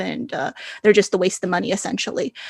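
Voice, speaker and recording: The pace is fairly quick. The sound is dry and close with no echo, and the background is quiet. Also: woman. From Arizona, US. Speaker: tech company founder and CEO. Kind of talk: interview. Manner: hesitant, many fillers.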